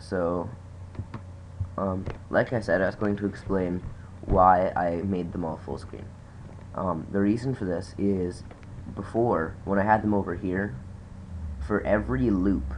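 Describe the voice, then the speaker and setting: A man's very deep, low voice at a fairly slow pace, with ordinary pitch variation and long, frequent pauses. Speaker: hobby programmer. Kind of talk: casual screen-recording tutorial talk.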